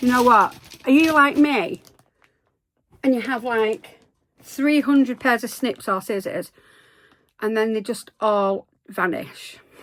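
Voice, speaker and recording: With a West Country accent, a woman speaks at a high pitch with ordinary pitch variation and an animated tone, going at a fairly slow pace with long, frequent pauses on a very clean recording with a silent background. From Devon, England. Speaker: crochet youtuber. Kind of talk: casual vlog chat. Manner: chatty, animated.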